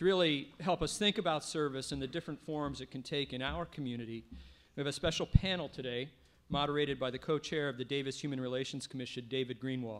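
A man speaks at a very fast pace. His fairly high pitch shows ordinary variation. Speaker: local politician acting as emcee. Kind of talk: ceremonial speech. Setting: stage with audience. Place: stage. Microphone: podium.

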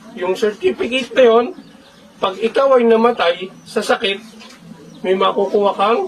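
High male voice at a fairly slow pace, ordinary pitch variation, long and frequent pauses, and noticeable background noise. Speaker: fraternity officer addressing members. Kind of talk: speech to a chapter gathering.

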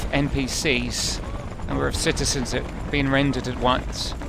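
Noticeable background noise accompanies a man speaking at a fairly slow pace. The sound is dry with no echo. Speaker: video game let's player. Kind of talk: casual gameplay commentary. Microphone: headset.

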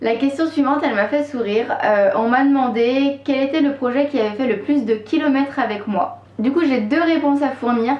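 A woman with a high pitch talks at a moderate pace and very even loudness. Room echo can be heard. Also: ordinary pitch variation. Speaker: knitting vlogger. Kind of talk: casual vlog chat. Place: home room.

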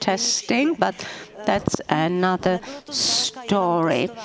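The speaker is a woman. There is noticeable noise behind her voice. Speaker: conference speaker. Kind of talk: formal speech. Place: hall. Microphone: podium.

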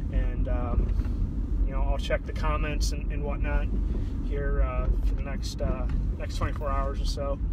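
Over loud background noise, a man speaks very slowly in a dry sound with no echo. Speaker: podcaster on a live stream. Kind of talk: casual vlog chat. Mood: relaxed, friendly. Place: car. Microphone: phone near.

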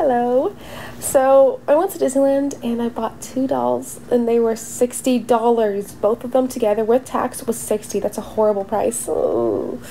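A woman's fairly high pitch with ordinary pitch variation, at a moderate pace over noticeable background noise. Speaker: doll unboxing youtuber. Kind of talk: casual unboxing voice-over. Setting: recorded voice-over. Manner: animated.

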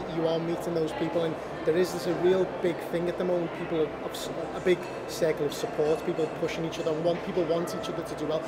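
Loud background noise surrounds the recording. A man talks at a very fast pace. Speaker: show host and actor. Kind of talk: casual interview chat. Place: cafe.

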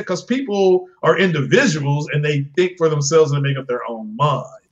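A man speaking at a fairly quick pace. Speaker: gaming podcaster. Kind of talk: casual chat. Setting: live stream.

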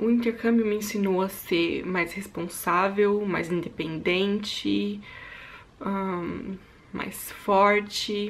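A woman keeps her intonation fairly even while talking very slowly. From Brazil, São Paulo state (Suzano); São Paulo state, Brazil. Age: 20s. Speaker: YouTuber and au pair; YouTuber. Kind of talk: casual vlog monologue. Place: home room. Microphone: phone near.

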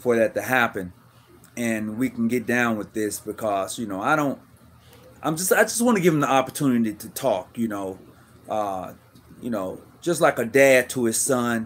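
A man is speaking. His pace is moderate and his pitch variation ordinary. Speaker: live stream show host. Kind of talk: casual livestream talk to viewers. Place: home room. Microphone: phone near.

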